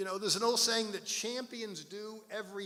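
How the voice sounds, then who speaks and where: A man speaks in a raised, projected voice that sits high in pitch. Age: 70s. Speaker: pastor. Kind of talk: sermon. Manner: halting.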